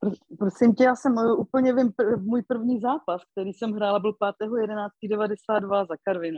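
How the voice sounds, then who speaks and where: A woman with a fairly high pitch talks at a fairly slow pace with hardly any pauses and ordinary pitch variation. It is an ordinary speaking voice. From Moravia, Karviná region. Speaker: former ice hockey player. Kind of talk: interview.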